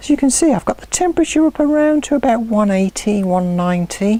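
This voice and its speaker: With a British accent, the speaker uses a relaxed tone at a moderate pace against noticeable background noise. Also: woman. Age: 60s. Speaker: home cooking channel host. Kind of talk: cooking tutorial. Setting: outdoors in her garden. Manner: chatty, relaxed.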